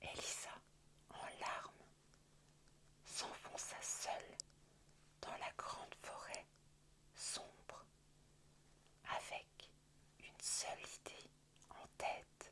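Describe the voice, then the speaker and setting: A woman whispers at a very slow pace, with long, frequent pauses. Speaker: ASMR creator. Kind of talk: whispered bedtime story reading. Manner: whispered, soft.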